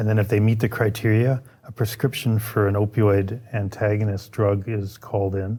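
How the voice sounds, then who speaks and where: The man's voice is fairly low, dark and mellow, and somewhat breathy. He speaks in a flat monotone at a moderate pace. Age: 60s. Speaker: police sergeant. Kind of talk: podcast interview.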